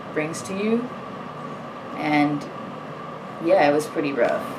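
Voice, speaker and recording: A woman speaks with a very deep, low pitch. Audible room echo and noticeable background noise surround her voice. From Puerto Rico. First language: Spanish. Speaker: student athlete. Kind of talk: personal testimony. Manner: hesitant, many fillers.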